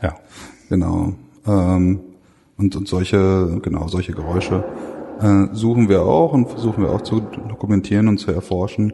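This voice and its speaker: Over noticeable background noise, a man with a fairly low pitch talks at a moderate pace with ordinary pitch variation and long, frequent pauses. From Ruhr area, Germany. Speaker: museum researcher. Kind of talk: interview. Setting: workshop lunch at a museum. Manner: halting with many fillers.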